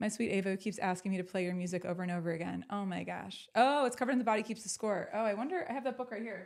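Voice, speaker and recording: Delivered at a very fast pace with hardly any pauses, the speech has an animated tone. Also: woman, medium pitch for a woman, ordinary pitch variation. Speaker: talk show host. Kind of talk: live interview show chat. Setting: live stream video call.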